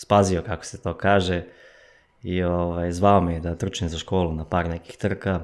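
Fairly slow and monotone, a man talks with flat intonation in a very deep, low pitch. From eastern Serbia, village near Golubac; Serbia. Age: 20s. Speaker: runner, athlete; podcast guest. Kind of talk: casual interview. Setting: studio. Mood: calm, reflective. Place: studio. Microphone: studio mic.

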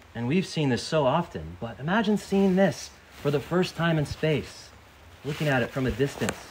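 With a fairly high pitch, a man talks in a plain, everyday voice. He keeps a moderate pace and lively intonation. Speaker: priest preaching to camp. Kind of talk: sermon to children at a church camp.

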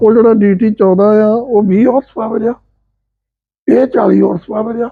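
The man's voice is high-pitched. His intonation stays fairly even. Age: 70s. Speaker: retired principal and farmer. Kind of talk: casual explanatory chat.

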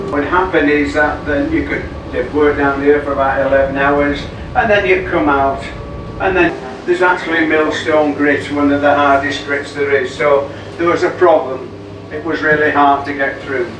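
Audible room echo and noticeable background noise surround a man whose intonation stays fairly even. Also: moderate pace. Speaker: boat tour guide. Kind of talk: guided tour commentary. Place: tunnel cave.

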